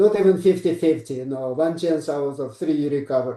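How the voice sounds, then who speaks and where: Speaking at a moderate pace in a Russian accent, a man with a fairly high pitch and a dark, mellow tone uses ordinary pitch variation. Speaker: psychiatrist. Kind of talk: interview.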